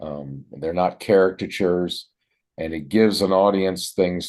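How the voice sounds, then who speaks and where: A man with an American accent talks fairly slowly with a very deep, low pitch and fairly even intonation. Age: 70s. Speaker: retired journalist and community theater actor. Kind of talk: interview.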